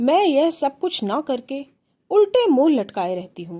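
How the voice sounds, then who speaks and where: Her pitch is high and swings very widely as this woman talks in a dark, mellow tone. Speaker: storyteller. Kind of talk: first-person literary narration.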